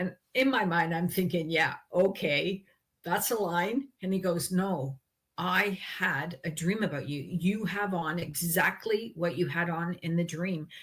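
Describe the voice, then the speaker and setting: A woman with a Canadian accent, fairly low in pitch and somewhat breathy, at a fairly slow pace. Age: 60s. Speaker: author and health advocate. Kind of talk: interview testimony.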